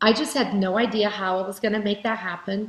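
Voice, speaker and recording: A woman with a Portuguese accent at a medium pitch and a moderate pace, against a quiet background. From Brazil. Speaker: keynote speaker, direct sales leader. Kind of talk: keynote speech.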